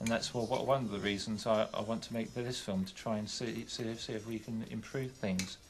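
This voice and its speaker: Talking at a fairly quick pace with hardly any pauses, a man with an English accent keeps a medium pitch and a monotone, flat intonation. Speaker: documentary presenter. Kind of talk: personal testimony. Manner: halting.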